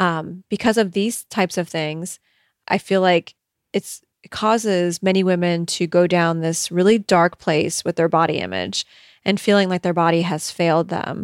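Using an ordinary speaking voice, a woman with a fairly low pitch talks at a moderate pace with fairly even intonation in a dry, close sound with no echo. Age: middle-aged. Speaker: podcast host and eating coach. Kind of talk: casual advice monologue.

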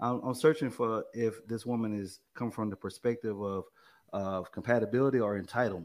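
A man with an American accent at a medium pitch, very fast, with fairly even intonation. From East Texas. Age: 40s. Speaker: program manager, military veteran. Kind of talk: casual panel discussion. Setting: video call.

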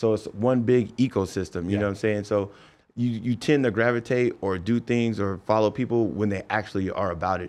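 A man talks at a fairly quick pace in a plain, everyday voice. His pitch sits fairly low, his intonation is fairly even and the background is quiet. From Los Angeles. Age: 30s. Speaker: nightlife VIP host and entrepreneur. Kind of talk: casual chat.

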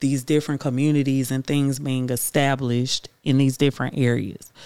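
A speaker with a Houston accent talks at a moderate pace on a very clean recording with a silent background. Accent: Houston, Texas. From Houston, Texas. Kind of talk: casual chat.

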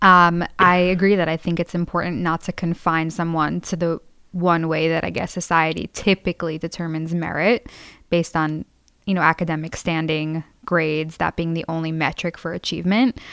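A woman speaks at a moderate pace in a fairly low pitch, her intonation flat and monotone, on a very clean recording with a silent background and a dry, close sound with no echo. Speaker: student. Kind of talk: casual chat. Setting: studio.

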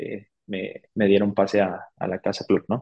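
A man with a fairly low pitch at a moderate pace. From Mexico, San Luis de la Paz, Guanajuato. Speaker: cycling coach and nutritionist. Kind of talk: interview. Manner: halting, many fillers and repeats.

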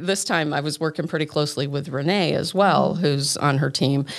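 Noticeable background noise sits behind a woman with an American accent. Her pitch is very deep and low, and her intonation is fairly even. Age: 50s. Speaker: wedding officiant and church event coordinator. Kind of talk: casual chat.

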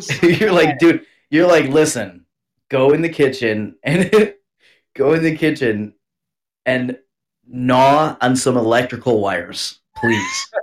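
Using lively intonation and an American accent, a man speaks at a fairly slow pace and a fairly high pitch, with long, frequent pauses. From US Northeast. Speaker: podcast co-host. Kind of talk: casual chat. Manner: animated.

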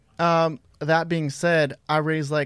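A man with fairly high pitch speaks in an ordinary speaking voice on a very clean recording with a silent background. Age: 20s. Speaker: clothing brand designer. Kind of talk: interview.

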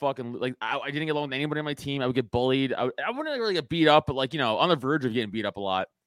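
A man with a New York accent at a very fast pace, fairly high-pitched, animated and with lively intonation, hardly any pauses, and a dry, close sound with no echo. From New York City, Staten Island. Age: 30s. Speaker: podcast host and stand-up comedian. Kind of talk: casual chat.

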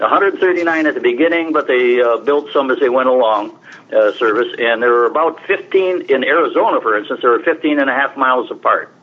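With noticeable background noise behind him, a man with an American accent speaks at a moderate pace and very even loudness. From upstate New York, US. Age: 80s+. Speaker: historian. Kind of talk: radio interview.

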